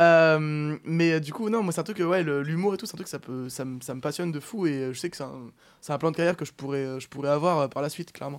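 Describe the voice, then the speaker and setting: A man's unremarkable speaking voice, fairly high-pitched, with big swings in loudness, ordinary pitch variation and a fairly quick pace. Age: 20s. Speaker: professional poker player. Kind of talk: casual chat. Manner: fast.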